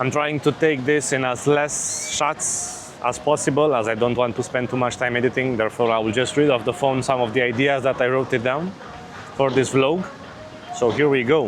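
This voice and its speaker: A man with a non-native accent, fairly even intonation and very even loudness, with audible room echo and music in the background. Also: medium pitch for a man, moderate pace. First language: not English. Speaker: vlogger. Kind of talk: casual vlog. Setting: outdoors on a beach.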